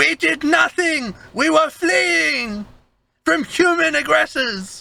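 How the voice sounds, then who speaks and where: A man uses a put-on character voice at an extremely high pitch. He moves very slowly and makes very wide pitch swings. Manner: defensive, protesting.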